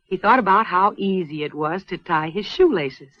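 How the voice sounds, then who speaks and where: A woman with a plain, everyday voice talks at a moderate pace in a medium pitch, her intonation lively. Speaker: narrator. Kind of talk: educational film narration.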